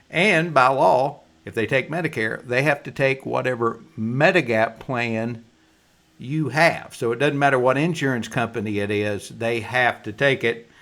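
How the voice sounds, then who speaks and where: This is an ordinary speaking voice from a man at a moderate pace. The pitch is medium and varies in an ordinary way. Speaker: insurance agent. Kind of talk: explainer presentation. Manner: casual folksy.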